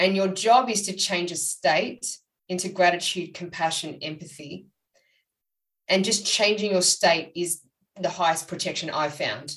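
A woman's fairly low voice with ordinary pitch variation at a fairly slow pace. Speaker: psychic medium and author. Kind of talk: casual interview chat. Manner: conversational, hesitant, many fillers.

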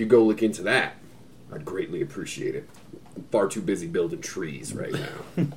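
A man puts on a raspy character voice at a moderate pace. Clear background noise is heard. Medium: actual play. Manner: folksy, rambling, crude humor.

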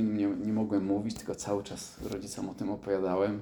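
A man is speaking. His pitch sits fairly low. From southern Poland. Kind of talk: testimony. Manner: halting, hesitant with many repetitions.

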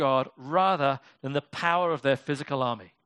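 The man speaks at a moderate pace with ordinary pitch variation. The background is quiet. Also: dry, close sound with no echo. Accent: British. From Britain. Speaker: pastor. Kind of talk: sermon. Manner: casual, conversational.

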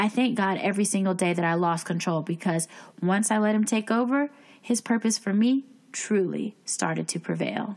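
An ordinary speaking voice comes at a moderate pace with ordinary pitch variation. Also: woman, medium pitch for a woman. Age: 20s. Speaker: podcast host and life coach. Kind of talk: casual chat. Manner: scripted narration.

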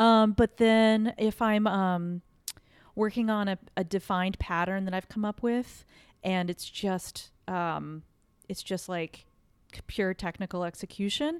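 With an American accent, a woman talks at a fairly slow pace and medium pitch. Her intonation is fairly even, and the recording is very clean with a silent background. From rural central Texas. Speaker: painter. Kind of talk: casual interview. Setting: artist's studio. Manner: hesitant, many fillers.

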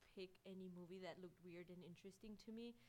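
Fairly quick and monotone, a woman speaks at a medium pitch with flat intonation. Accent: Spanish. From Mexico, León, Guanajuato. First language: Spanish. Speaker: animation artist. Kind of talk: interview.

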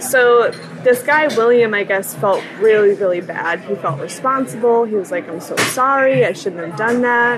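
Noticeable background noise sits under a woman whose intonation is lively. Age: 20s. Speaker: singer-songwriter and college student. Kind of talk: casual chat.

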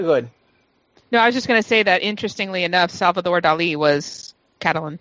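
The speech moves at a fairly quick pace with ordinary pitch variation. Long, frequent pauses break it up. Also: woman. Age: 30s. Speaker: podcast panelist. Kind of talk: casual chat.

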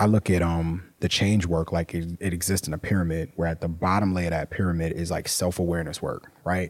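With an American accent, a man talks at a fairly quick pace in a very deep, low pitch and fairly even intonation, on a very clean recording with a silent background. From New York. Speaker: nonprofit founder. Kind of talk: recorded personal story.

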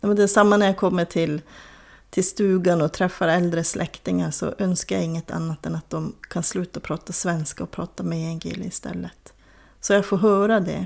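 A woman with a plain, everyday voice talks at a moderate pace, her pitch fairly low and her intonation fairly even. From northern Sweden, Kiruna area (Soppero, Lannavaara). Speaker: crime novelist. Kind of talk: interview.

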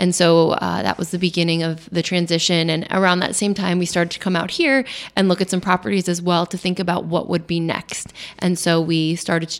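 With an American accent, a woman with a fairly low pitch talks at a very fast pace. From Long Island, New York. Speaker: vineyard owner. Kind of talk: radio interview. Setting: radio studio.

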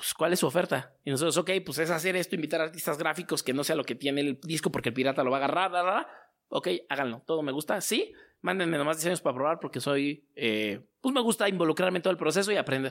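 Someone with a Mexico City accent talks at a very fast pace in a very clean recording with a silent background. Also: man, fairly high pitch for a man, ordinary pitch variation. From Mexico City (Azcapotzalco). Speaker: merchandise and poster entrepreneur. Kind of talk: interview. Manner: casual, slangy.

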